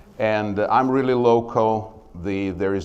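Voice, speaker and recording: A man talks with ordinary pitch variation while room echo is audible. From Soviet Union. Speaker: small business owner. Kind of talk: business pitch presentation. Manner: hesitant, many filler sounds.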